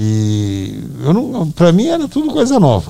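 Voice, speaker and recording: A man is heard here. His tone comes across dark and mellow. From Brazil, Northeast (Ceará). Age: 70s. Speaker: musician's father. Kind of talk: casual chat. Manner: halting.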